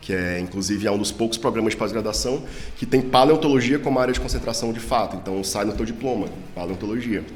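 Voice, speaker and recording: A man with a Ceará accent at medium pitch, very fast pace and ordinary pitch variation, amid audible room echo and noticeable background noise. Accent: Northeastern Brazilian (cearense). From Brazil, Ceará (Northeast). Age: 30s. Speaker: paleontologist, professor. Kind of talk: casual interview.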